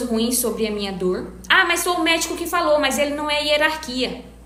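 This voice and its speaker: A woman with a northeastern Brazilian accent speaks at a fairly slow pace with lively intonation, and the room echo is audible. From Northeast Brazil. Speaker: back pain health professional. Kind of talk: live stream talk answering viewers. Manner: casual conversational.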